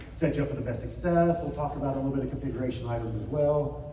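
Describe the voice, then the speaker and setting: Clear background noise runs through the clip, and the room's echo can be heard. The man speaks extremely quickly. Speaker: conference speaker on church IT wireless. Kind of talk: conference talk. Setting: stage with audience. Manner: casual, filler-heavy.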